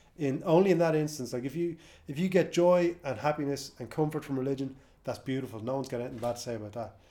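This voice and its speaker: With an Irish accent, a man speaks very fast in a fairly high pitch, his tone dark and mellow and his pitch varying in an ordinary way. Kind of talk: casual chat.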